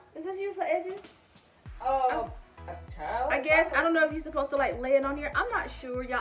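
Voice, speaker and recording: Clear music plays behind the speaker. She is a woman talking over it. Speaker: vlogger. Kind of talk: casual product review vlog chat. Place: home room. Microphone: phone near.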